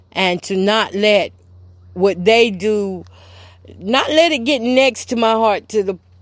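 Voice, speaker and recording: A woman with a fairly high pitch talks at a very slow pace. She leaves long, frequent pauses. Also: ordinary pitch variation. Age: 40s. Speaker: podcast host. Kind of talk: personal testimony. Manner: emotional, repetitive.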